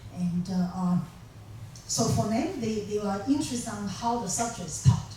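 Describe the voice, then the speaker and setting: A woman with a Chinese accent at a moderate pace, amid noticeable background noise and audible room echo. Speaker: professor. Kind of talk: lecture. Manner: halting, many fillers.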